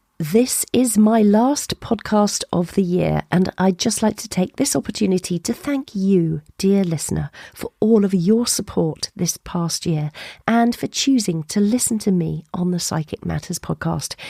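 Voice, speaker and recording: In a dark, mellow tone, a woman talks at a fairly slow pace with a medium pitch, ordinary pitch variation and a somewhat breathy quality. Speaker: podcast host. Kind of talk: podcast intro monologue.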